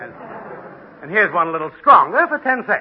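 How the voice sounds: This man uses a put-on character voice, pitched high with big swings and a slightly husky edge. He talks at a moderate pace.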